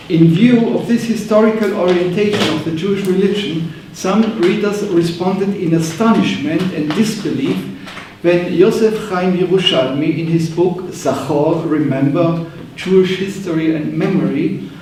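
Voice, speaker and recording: A man with a German accent speaks at a high pitch and moderate pace with ordinary pitch variation, amid audible room echo and noticeable background noise. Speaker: professor. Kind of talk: lecture. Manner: reading from manuscript.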